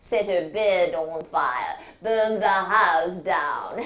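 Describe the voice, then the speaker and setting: A put-on character voice drawls at a very slow pace with ordinary pitch variation. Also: woman, medium pitch for a woman. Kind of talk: imitated by narrator. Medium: stage play. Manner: sneering, patronising.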